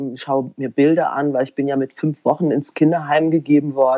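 A woman speaks with a very deep, low pitch and a dark, mellow tone. The sound is dry and close, with no echo. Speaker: documentary filmmaker. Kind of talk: interview. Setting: garden shed.

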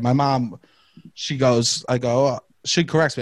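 This man speaks in an animated tone with a strong New York accent. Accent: strong Staten Island New York. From Staten Island, New York. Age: 30s. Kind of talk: casual chat. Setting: video call. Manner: animated, joking.

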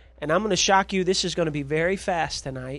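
A man's high-pitched voice with ordinary pitch variation, with music in the background. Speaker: preacher. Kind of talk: sermon. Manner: halting with many fillers.

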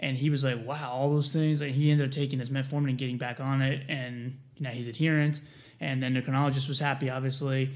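A man with an American accent talks at a very fast pace. His pitch is medium and his intonation monotone and flat. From US South, South Carolina. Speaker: pharmacist. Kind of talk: casual chat. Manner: fast talker.

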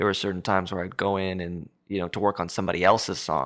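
A man speaks with an American accent in a very deep, low voice. The recording is very clean, with a silent background. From Southern California. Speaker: musician. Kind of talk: casual chat.

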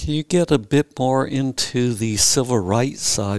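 At a fairly slow pace, a man is talking. He uses a normal speaking voice with ordinary pitch variation. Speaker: historian interviewer. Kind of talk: interview questions. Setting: recorded at Justice Lowe's house.

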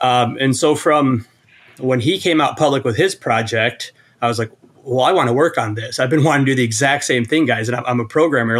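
A man with a normal speaking voice and an American accent, medium pitch and a fairly quick pace. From Iowa. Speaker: programmer and app developer. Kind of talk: casual chat.

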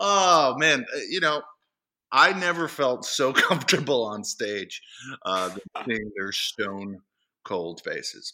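On a very clean recording with a silent background, a man with an American accent and a bright, sharp tone speaks at a fairly high pitch with very wide pitch swings, a very slow pace and long, frequent pauses. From central Massachusetts. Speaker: lawyer and former improv comedian. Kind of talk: casual interview chat.

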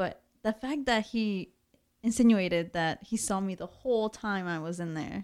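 A woman with an unremarkable speaking voice at a medium pitch, with ordinary pitch variation at a moderate pace, on a very clean recording with a silent background. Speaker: podcast co-host. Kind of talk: casual chat.

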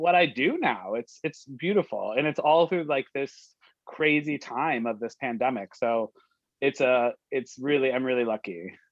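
A man with an American accent speaks at a moderate pace with lively intonation. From US. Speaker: home cook and food content creator. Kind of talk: casual chat. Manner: animated.

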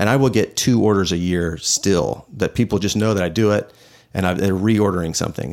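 In a plain, everyday voice, a man with an American accent speaks at a fairly quick pace with a fairly low pitch and ordinary pitch variation. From Houston, Texas. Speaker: design team lead. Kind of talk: casual chat. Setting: studio, in-person video recording.

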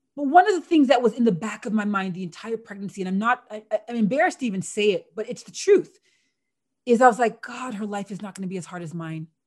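Someone talks very fast with a Canadian accent and lively intonation. The voice is somewhat breathy. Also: woman, fairly high pitch for a woman, big swings in loudness. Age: 40s. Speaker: former Olympic athlete and sports broadcaster. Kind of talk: interview, personal storytelling.

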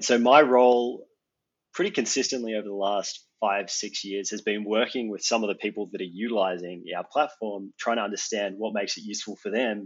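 A man speaks with an Australian accent at a fairly low pitch. His pace is fairly quick. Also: fairly even intonation. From Australia, Geelong. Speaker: mapping industry professional. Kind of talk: casual chat.

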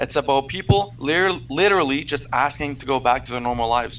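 A man talks with a French accent. His pace is moderate. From Canada. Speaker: convoy supporter caller. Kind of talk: debate. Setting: remote call from PC.

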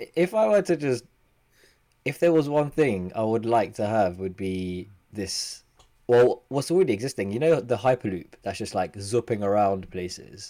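In a very clean recording with a silent background, a man sounds playful, his dark, mellow tone carried by lively intonation. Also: medium pitch for a man, moderate pace. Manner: joking, playful.

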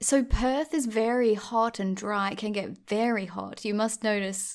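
A woman speaks fairly slowly in an Australian accent, with ordinary pitch variation. The recording is very clean, with a silent background. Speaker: podcast host. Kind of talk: casual interview chat.

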